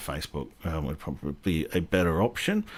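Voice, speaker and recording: On a very clean recording with a silent background, a man with a Sydney accent speaks at a moderate pace. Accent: some Sydney. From Australia, Western Sydney. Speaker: railway history YouTuber, live stream host. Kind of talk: casual live stream chat. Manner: hesitant, many ums and uhs.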